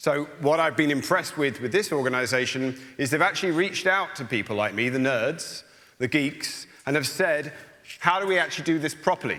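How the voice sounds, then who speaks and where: Speaking with an English accent, a man uses a fairly high pitch and a bright, sharp tone. His pace is fairly quick and his pitch varies in an ordinary way. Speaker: soil scientist. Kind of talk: panel discussion. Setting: stage with audience.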